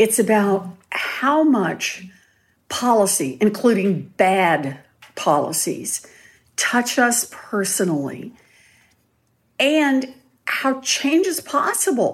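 A woman speaks very slowly in a fairly high voice with vocal fry. Her pitch swings very widely, and she leaves long, frequent pauses. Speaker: author. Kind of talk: interview. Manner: soft-spoken.

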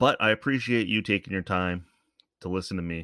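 With a Canadian accent, a man talks at a moderate pace in a very deep, low pitch and a bright, sharp tone. The sound is dry and close with no echo, the background quiet. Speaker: podcast host. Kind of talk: casual monologue. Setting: home studio microphone. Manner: rambling, conversational.

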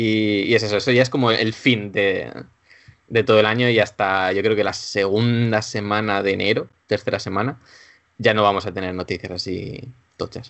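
Keeping a monotone, flat intonation, a man speaks at a moderate pace in a fairly low pitch. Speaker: video game journalist. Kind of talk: casual chat.

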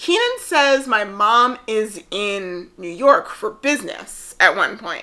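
Very slow and high in pitch, a woman's voice makes very wide pitch swings and big swings in loudness. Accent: American. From New Jersey. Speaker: podcast co-host. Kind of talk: casual chat.

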